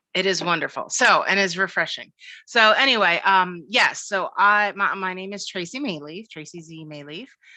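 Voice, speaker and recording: Against a quiet background, a woman with an American accent speaks at a moderate pace in a bright, sharp, medium-pitched voice, with ordinary pitch variation and big swings in loudness. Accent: Philadelphia accent, occasional. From US Northeast, Philadelphia. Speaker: cybersecurity professional, former librarian. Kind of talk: casual interview.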